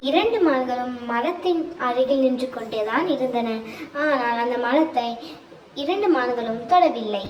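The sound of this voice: With lively intonation, the speech moves at a moderate pace amid audible room echo.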